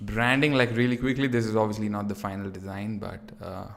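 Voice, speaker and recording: There is audible room echo around this voice. A man with an American accent speaks at a fairly low pitch with fairly even intonation. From India. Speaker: 3D artist streamer. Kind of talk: live stream tutorial chat. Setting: near-empty room at home, live stream. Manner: casual, filler-heavy.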